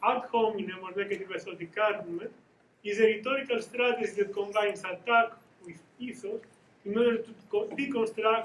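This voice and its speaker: A man speaks at a fairly quick pace with a high pitch. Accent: strong Greek. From Greece. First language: Greek. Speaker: academic researcher. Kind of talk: conference presentation. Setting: conference panel. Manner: halting, with self-corrections.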